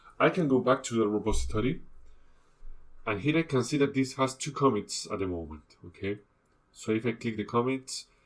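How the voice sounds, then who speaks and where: This man speaks with a non-native accent. His pace is moderate and his pitch variation ordinary. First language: not English. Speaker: instructor. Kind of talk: tutorial. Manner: halting.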